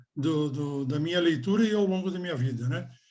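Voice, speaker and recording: Audible room echo surrounds a man with a fairly high pitch and ordinary pitch variation. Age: 60s. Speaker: member of a spiritual order. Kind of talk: group discussion.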